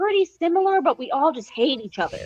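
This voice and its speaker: With a Philadelphia accent, a woman speaks at a moderate pace, her pitch swinging very widely. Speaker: best friend guest. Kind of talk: casual chat.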